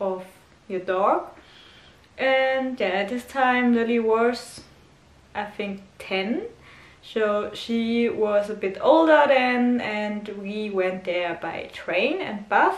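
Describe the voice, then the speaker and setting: With noticeable background noise and audible room echo, a woman at medium pitch speaks at a very slow pace with ordinary pitch variation. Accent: German. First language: German. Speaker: dog owner vlogger. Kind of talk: casual vlog talk. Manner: halting, many fillers.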